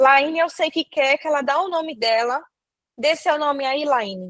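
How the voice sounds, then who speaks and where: The woman's voice is high-pitched. She talks fairly slowly. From Brazil, countryside. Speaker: nursing teacher. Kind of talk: online lecture. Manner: casual, joking.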